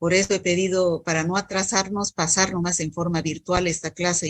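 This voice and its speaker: Flat and monotone, a woman speaks at a moderate pace and a fairly low pitch, the sound dry and close with no echo. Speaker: medical school lecturer. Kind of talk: online lecture. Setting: video call. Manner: not loud.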